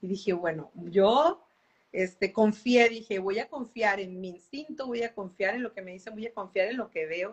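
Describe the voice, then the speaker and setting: A woman with a medium-pitched, unremarkable speaking voice talks at a moderate pace with ordinary pitch variation. Her loudness swings widely. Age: 40s. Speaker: professional musician and singer. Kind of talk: interview on a live stream. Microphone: unstable internet connection.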